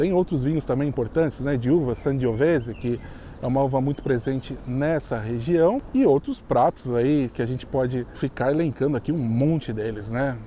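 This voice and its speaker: A man at medium pitch and a moderate pace, with ordinary pitch variation, hardly any pauses and noticeable background noise. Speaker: YouTuber, expat video host. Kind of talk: casual vlog commentary.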